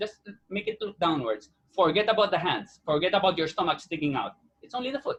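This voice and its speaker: Loud and animated, a man talks at a fairly quick pace. His pitch is high and his intonation lively. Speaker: actor. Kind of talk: interview.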